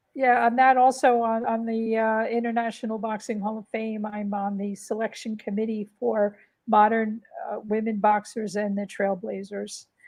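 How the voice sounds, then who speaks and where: A woman speaks with a fairly high pitch at a moderate pace. Her intonation is monotone and flat. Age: 60s. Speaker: boxing historian and writer. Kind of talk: interview. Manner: hesitant with many fillers.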